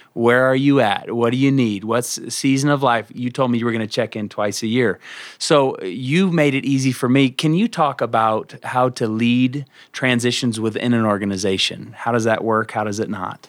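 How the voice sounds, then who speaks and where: In a very clean recording with a silent background, a man talks in an ordinary speaking voice at a medium pitch, with ordinary pitch variation and a moderate pace. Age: 30s. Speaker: pastor. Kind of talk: casual chat.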